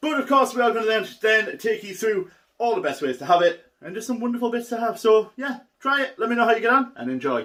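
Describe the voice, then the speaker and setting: Speaking very fast with lively intonation, a man with a northern English accent has an extremely high, bright and sharp voice. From northern England. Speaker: cooking youtuber. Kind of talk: cooking tutorial. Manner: casual, enthusiastic.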